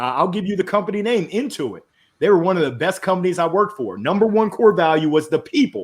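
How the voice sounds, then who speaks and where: A loud man with a high voice talks at a very fast clip, his tone animated and his intonation lively against a quiet background. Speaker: business consultant and motivational speaker. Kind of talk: podcast interview.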